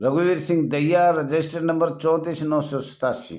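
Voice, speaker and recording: A man speaks in a high voice with flat, monotone intonation, and audible echo fills the room. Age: 70s. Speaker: home guard association leader. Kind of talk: video appeal. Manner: formal.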